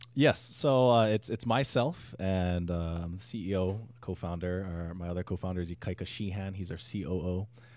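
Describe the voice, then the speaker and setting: A man's very deep, low voice at a moderate pace, with ordinary pitch variation and hardly any pauses. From Hawaii. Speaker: startup founder. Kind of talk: interview.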